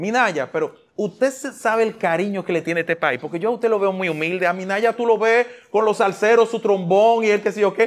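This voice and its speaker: In an animated tone, a man talks at a fairly quick pace and high pitch with ordinary pitch variation. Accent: Dominican. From Dominican Republic. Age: 40s. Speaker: talk show host. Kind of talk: casual interview. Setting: studio. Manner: talkative. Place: studio. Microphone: lapel.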